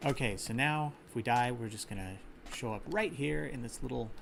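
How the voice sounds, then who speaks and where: In an American accent, a man with a medium pitch talks at a fairly quick pace. Room echo is audible. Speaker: gaming streamer. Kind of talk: live gameplay commentary. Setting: live stream. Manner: casual, with fillers and restarts. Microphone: slight echo.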